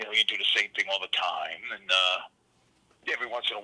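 A man with a New York accent talks at a fairly quick pace. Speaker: tugboat worker. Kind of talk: casual phone interview. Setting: phone call. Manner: filler-heavy, repeats words. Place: home room. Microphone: studio mic.

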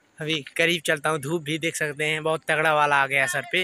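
A man talks with a high pitch and a bright, sharp tone. The sound is dry, with no echo. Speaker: vlogger. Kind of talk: casual vlog chat. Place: open country. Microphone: phone near.

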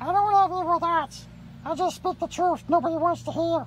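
At a moderate pace, a woman does a put-on character voice at an extremely high pitch, with clear background noise. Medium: role play. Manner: sassy, dramatic.

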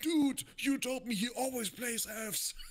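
Putting on a character voice, a man speaks at an extremely high pitch in an Austrian accent. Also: moderate pace.

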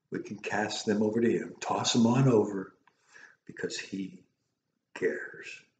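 A man speaks at a fairly slow pace with a fairly low pitch and a dark, mellow tone. There is audible room echo and light background noise. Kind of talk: sermon / devotional message. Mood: warm, earnest. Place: home room. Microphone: webcam.

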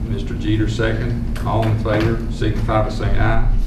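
Loud background noise runs beneath speech delivered at a moderate pace. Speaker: board chairman. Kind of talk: public meeting. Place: meeting room.

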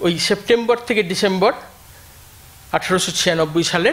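A man talks with a high pitch. His voice makes very wide pitch swings. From West Bengal, India. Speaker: economics professor. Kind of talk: lecture. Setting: lecture hall with audience. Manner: stutters at the start. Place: hall. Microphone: podium.

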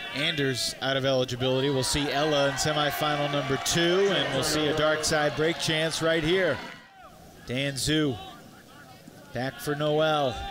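Against noticeable background noise, a man with a fairly high pitch talks at a moderate pace with very even loudness. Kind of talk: live sports play-by-play commentary.

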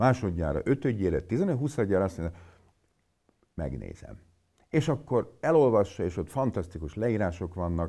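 Against a quiet background, a man with a dark, mellow tone talks at a moderate pace with very wide pitch swings and long, frequent pauses. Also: fairly low pitch for a man. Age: 50s. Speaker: physician; interviewee. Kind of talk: interview. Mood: blunt, mocking about myths. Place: meeting room.

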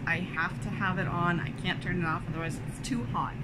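A woman against loud background noise. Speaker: book reviewer. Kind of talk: casual vlog chat. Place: home room. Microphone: phone near.

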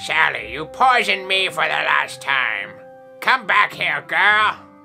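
A put-on character voice sits at a middle pitch and moves at a fairly slow pace. Clear music plays in the background. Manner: menacing, scolding.

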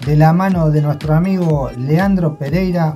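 Over clear music in the background, a man speaks at a moderate pace with ordinary pitch variation. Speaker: fishing show host. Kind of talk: casual vlog chat. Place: home room. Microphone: phone near.

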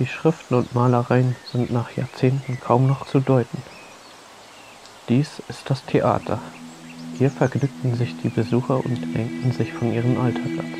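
Light background noise sits under speech at a fairly slow pace. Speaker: documentary narrator. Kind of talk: documentary narration.

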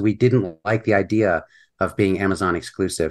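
A man's normal speaking voice, fairly low in pitch, at a moderate pace over a quiet background. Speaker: thriller author. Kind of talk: casual interview chat.

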